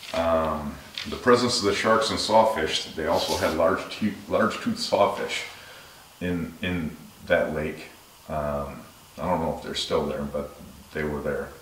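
A man talks at a fairly slow pace with long, frequent pauses, with audible room echo and light background noise. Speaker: shark channel host. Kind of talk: casual vlog chat. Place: home room.

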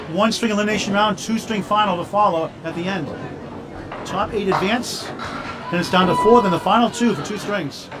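A fairly quick pace amid noticeable background noise. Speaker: sports announcer. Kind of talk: commentary. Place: hall.

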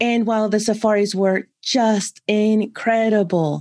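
With an American accent, a woman talks in a plain, everyday voice with fairly even intonation. The background is quiet. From San Francisco, California. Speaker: content marketing strategist, ex-CFO. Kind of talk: interview conversation.

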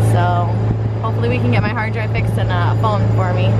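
Loud background noise around a woman's moderate-paced speech. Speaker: sailing vlogger. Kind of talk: casual vlog chat. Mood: rueful, laughing at bad luck. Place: boat. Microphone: phone near.

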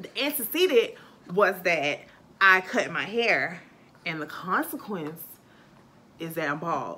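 Amid audible room echo, a woman with a bright, sharp tone and lively intonation speaks at a slow pace, leaving long, frequent pauses. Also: fairly low pitch for a woman.

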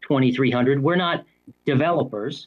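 Pitched at a medium level, a man's voice varies in pitch in an ordinary way.

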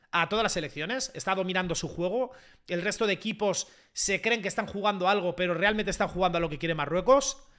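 A man talks at a very fast pace with high pitch and an animated tone. His voice is bright and sharp over a quiet background. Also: ordinary pitch variation. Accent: Spanish. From Spain. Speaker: YouTuber / football streamer; YouTuber, football streamer. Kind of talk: live match reaction to chat. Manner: animated, excitable. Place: home room. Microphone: studio mic.

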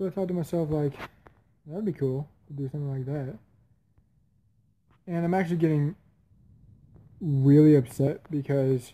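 A man's somewhat breathy voice at a moderate pace, with fairly even intonation and long, frequent pauses. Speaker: mobile game video creator. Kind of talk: casual talk to camera while gaming.

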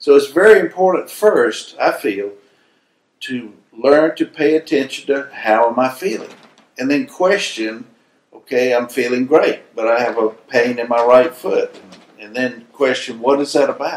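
There is audible room echo as a man with a fairly high pitch speaks at a moderate pace with ordinary pitch variation. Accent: American. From US South, South Carolina. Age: 60s. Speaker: spiritual healer; interviewee. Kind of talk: interview. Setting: filming location in Hawaii. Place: home room.

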